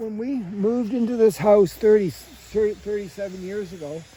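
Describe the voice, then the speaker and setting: A man's high-pitched voice at a moderate pace, over noticeable background noise. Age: 80s+. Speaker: home gardener. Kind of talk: casual garden tour. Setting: outdoors. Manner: halting.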